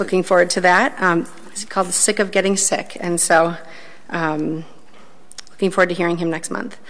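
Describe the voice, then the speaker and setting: The woman's pitch is fairly low and her intonation fairly even. She talks at a moderate pace. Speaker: school board member. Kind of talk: committee report at public meeting. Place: meeting room. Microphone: podium.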